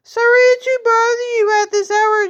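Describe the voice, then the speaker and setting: An extremely high, squeaky put-on character voice from a woman, monotone and flat, at a moderate pace. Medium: read story. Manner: rambling, oblivious.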